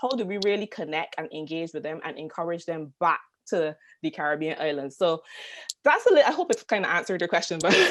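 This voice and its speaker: A woman talks very fast in a Barbadian accent. Her pitch is fairly low, with ordinary variation. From Barbados. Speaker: tourism marketing consultant. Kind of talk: panel discussion.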